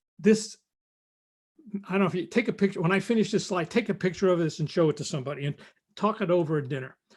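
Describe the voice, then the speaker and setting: Speaking with a New York accent, a man with a high voice uses ordinary pitch variation against a quiet background. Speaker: recruiting expert. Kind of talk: live stream talk. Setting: live stream. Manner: fast.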